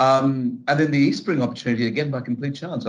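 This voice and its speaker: A man talks with an Australian accent. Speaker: HR director. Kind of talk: interview. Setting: office.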